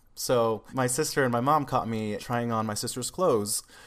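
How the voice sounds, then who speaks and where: This man has a West Coast US accent and a medium pitch with ordinary pitch variation. The recording is very clean, with a silent background. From Seattle, Washington. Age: 20s. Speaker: musician and YouTuber. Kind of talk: casual interview chat.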